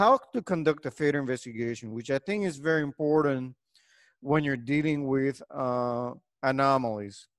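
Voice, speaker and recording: A man with a Spanish accent talks at a moderate pace with ordinary pitch variation. The sound is dry and close with no echo, on a very clean recording with a silent background. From Puerto Rico. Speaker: engineering professor. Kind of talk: lecture. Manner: hesitant, many fillers.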